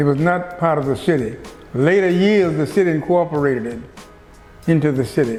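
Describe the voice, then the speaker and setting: Over music in the background, a man talks at a fairly quick pace with ordinary pitch variation and long, frequent pauses. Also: fairly high pitch for a man. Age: 80s+. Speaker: pastor. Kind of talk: interview answer.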